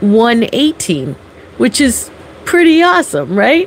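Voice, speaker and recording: A woman at a very slow pace, dry with no echo, over light background noise. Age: 50s. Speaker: health and life coach; life coach. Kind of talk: casual livestream chat. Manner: chatty, laughing often. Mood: warm, upbeat. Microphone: phone near.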